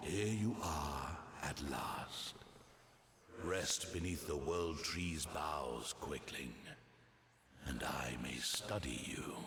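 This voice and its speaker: A man whispers in a put-on character voice at a very slow pace. Clear background noise is present. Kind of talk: mythic fantasy oration. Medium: game stream. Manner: slow, solemn, prophetic.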